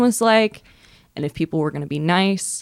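An ordinary speaking voice belongs to this woman. She talks at a moderate pace and a fairly low pitch. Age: 20s. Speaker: comedian. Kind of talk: casual chat.

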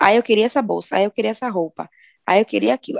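A woman speaks very fast in a fairly high voice, the sound dry and close with no echo. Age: 20s. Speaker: podcast co-host. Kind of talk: casual chat.

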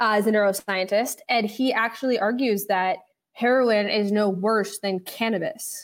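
A woman speaks with an American accent in an ordinary speaking voice, her pitch fairly high and her pitch variation ordinary. She talks at a moderate pace on a very clean recording with a silent background. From New York City, West Village. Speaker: venture capital fund founder. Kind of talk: interview.

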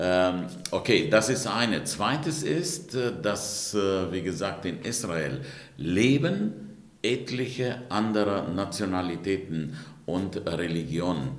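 A man with a fairly low pitch speaks at a very slow pace with lively intonation. Audible room echo and noticeable background noise fill the recording. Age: 60s. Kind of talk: interview. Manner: hesitant with many fillers.

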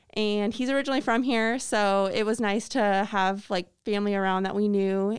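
A woman with an American accent, fairly high in pitch with ordinary pitch variation, at a moderate pace on a very clean recording with a silent background. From Illinois, US Midwest. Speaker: after-school program coordinator. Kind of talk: interview.

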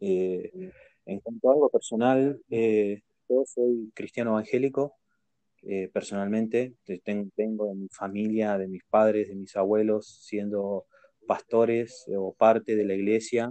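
A man's fairly low voice keeps a fairly even intonation while he talks at a fairly slow pace. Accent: Rioplatense. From Argentina. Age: 20s. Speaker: streamer and podcast host. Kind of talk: casual chat.

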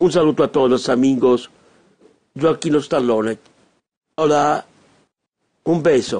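Pausing often and at length, a man with a fairly high pitch keeps very even loudness and fairly even intonation. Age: 50s. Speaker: radio host. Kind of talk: radio monologue. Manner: halting.

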